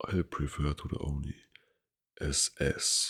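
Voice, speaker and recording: In a German accent, a somewhat breathy voice speaks at a very slow pace. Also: man. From Germany. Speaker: ASMR creator. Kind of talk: reading aloud. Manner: soft-spoken.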